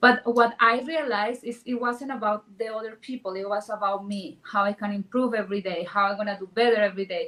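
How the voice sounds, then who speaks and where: A woman's fairly high voice with a strong non-native accent, fairly even intonation and a fairly quick pace, over noticeable background noise. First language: Spanish. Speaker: real estate agent. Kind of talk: panel discussion.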